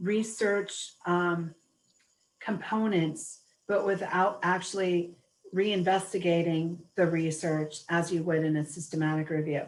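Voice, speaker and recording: A woman with an American accent and an unremarkable speaking voice talks at a fairly slow pace, her pitch fairly low, her intonation fairly even, and her loudness very even. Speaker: webinar presenter. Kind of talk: webinar Q&A.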